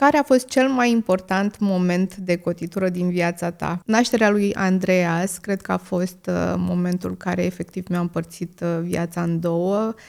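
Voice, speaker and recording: A woman speaks at a fairly slow pace in a fairly low pitch, with hardly any pauses. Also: ordinary pitch variation. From Romania, Moldavia region (Vrancea county). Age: 30s. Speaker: content creator, podcast host. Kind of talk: podcast Q&A monologue. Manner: many filler hesitations.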